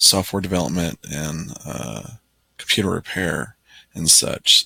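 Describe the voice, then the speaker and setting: Very slowly and with vocal fry, a man with a very deep, low pitch and a bright, sharp tone speaks with ordinary pitch variation in a dry, close recording with no echo. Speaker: delivery driver. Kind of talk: casual talk to camera. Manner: hesitant, many fillers.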